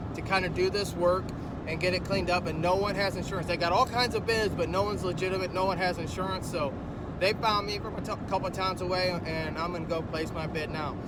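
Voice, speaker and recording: A high-pitched man talks at a very fast pace in a monotone, flat intonation. Audible room echo and noticeable background noise surround him. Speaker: lawn care business owner and vlogger. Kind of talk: casual vlog talk to camera. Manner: halting, repeats words.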